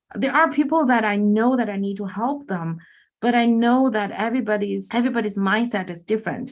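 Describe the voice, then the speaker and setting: On a very clean recording with a silent background, a woman with a Chinese accent speaks fairly quickly in a fairly high voice with ordinary pitch variation. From China. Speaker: infinite banking coach and real estate investor. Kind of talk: podcast interview.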